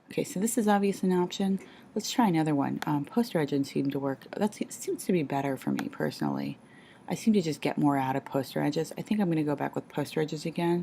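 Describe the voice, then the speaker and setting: Someone whispers at a very fast pace. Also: woman. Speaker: art teacher making a tutorial. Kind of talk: tutorial. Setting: at home. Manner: whispering; halting, many fillers.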